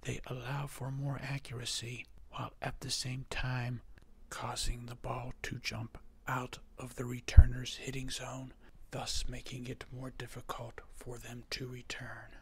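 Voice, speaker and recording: Soft-spoken whispering at a fairly slow pace. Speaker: tennis coach. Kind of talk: tennis strategy voiceover lesson. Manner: soft-spoken, occasionally whispered.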